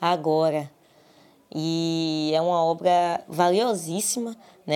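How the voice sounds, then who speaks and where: This woman's voice has a dark, mellow tone. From Brazil, Salvador, Bahia. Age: 20s. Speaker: literature student and researcher. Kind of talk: interview. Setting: recorded at home.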